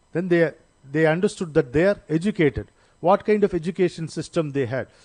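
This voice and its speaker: In an Indian accent, a man talks at a moderate pace with a high voice. The sound is dry and close, with no echo. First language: Indian language (not Telugu or English). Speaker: seminar speaker. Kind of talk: lecture. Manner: halting, with many fillers.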